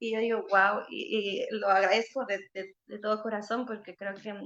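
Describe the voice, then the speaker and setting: A fairly high-pitched woman at a moderate pace. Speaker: singer-songwriter. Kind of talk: panel talk. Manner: halting, many repetitions.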